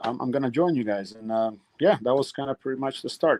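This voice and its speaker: A man talks at a very fast pace with medium pitch. The sound is dry and close, with no echo. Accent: Russian. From Russia. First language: Russian. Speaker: retired MMA fighter. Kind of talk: interview. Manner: halting.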